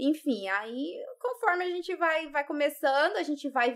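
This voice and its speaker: The voice is raised and projected, with a bright, sharp tone and lively intonation. It moves at a fairly slow pace over a quiet background. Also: woman. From Brazil, Rondônia. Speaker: YouTuber. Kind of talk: casual chat. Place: studio. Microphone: studio mic.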